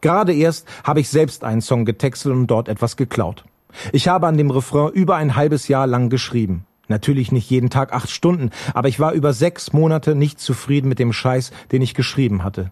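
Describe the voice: A medium-pitched man's slightly mellow voice, fairly quick, with few pauses and lively intonation.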